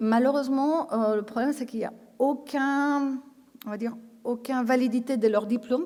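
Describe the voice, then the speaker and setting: A dark, mellow tone with a Spanish accent, at a moderate pace with fairly even intonation. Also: woman. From Spain. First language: Spanish (speaking French). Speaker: intensive care nurse trainer. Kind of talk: conference talk. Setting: conference stage with audience. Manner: hesitant, many fillers and repetitions.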